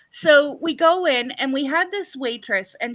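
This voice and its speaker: In a raised, projected voice with a bright, sharp tone and lively intonation, a woman speaks on a very clean recording with a silent background. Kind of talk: casual chat. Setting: live stream.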